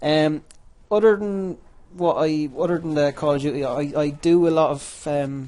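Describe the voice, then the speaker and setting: A man with an Irish accent speaks in a dark, mellow tone at a fairly high pitch, keeping a moderate pace and fairly even intonation. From Ireland. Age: 20s. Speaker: gaming youtuber. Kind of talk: gameplay commentary. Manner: halting, many repetitions; casual.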